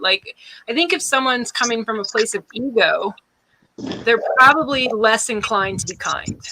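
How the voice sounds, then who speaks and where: Speaking in a normal speaking voice, a woman keeps a moderate pace and a fairly high pitch with ordinary pitch variation. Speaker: interviewer or host. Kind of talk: interview question.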